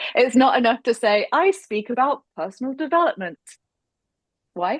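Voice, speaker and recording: Speaking in an English accent at a moderate pace, a woman has a high pitch, recorded with a dry, close sound and no echo. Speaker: speaker coach. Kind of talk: webinar presentation.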